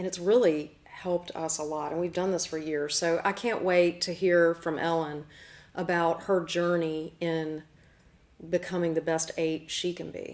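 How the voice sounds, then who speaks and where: Fairly low in pitch, a woman speaks with a Southern US accent. Her pace is fairly slow and her intonation monotone and flat. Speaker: show host and medium. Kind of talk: casual chat.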